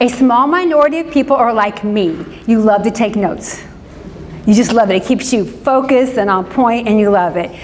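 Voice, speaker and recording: A woman with an American accent speaks at a fairly high pitch with lively intonation. The room echo is audible and the background noise is noticeable. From US Midwest, Indianapolis. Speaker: pastor and social worker. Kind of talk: church class talk. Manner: fast.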